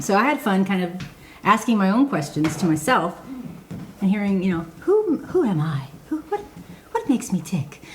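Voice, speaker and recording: A woman's voice with very wide pitch swings at a fairly quick pace, over noticeable background noise. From Michigan, raised in Georgia from third grade. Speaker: podcast co-host. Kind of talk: casual chat. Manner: halting, many fillers.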